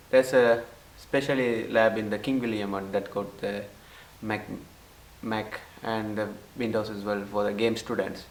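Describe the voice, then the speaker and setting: The speaker talks fairly slowly in a flat monotone, leaving long, frequent pauses, with audible room echo and noticeable background noise. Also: man, fairly low pitch for a man. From Sri Lanka. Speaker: international student. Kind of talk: interview testimony. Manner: halting.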